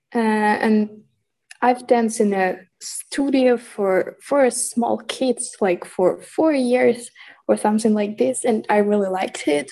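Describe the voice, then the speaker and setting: This woman has a dark, mellow tone and a Ukrainian accent. She talks at a fairly slow pace with ordinary pitch variation. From Ukraine. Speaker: student. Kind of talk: interview. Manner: halting.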